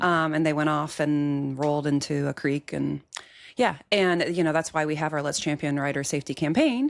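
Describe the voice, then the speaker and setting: Fairly even intonation at a moderate pace with an American accent, on a very clean recording with a silent background. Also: woman, very deep, low pitch for a woman. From US Midwest (Iowa). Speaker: agribusiness insurance leader, podcast guest. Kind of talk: casual chat.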